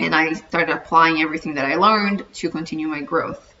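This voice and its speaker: In a slight Brazilian accent, a woman speaks at a fairly low pitch with ordinary variation. Noticeable background noise is present. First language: Portuguese. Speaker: dietitian and personal growth vlogger. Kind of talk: casual vlog monologue.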